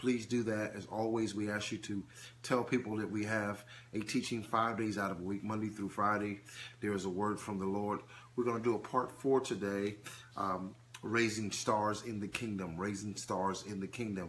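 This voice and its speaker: Over light background noise, a man speaks in a fairly low, monotone voice with flat intonation. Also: moderate pace. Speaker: preacher. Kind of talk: live-stream teaching. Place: home room. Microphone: phone near.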